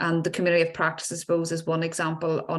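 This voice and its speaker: A woman speaks with a Northern Irish accent. Her pitch is fairly low. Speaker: health service official. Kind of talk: panel discussion.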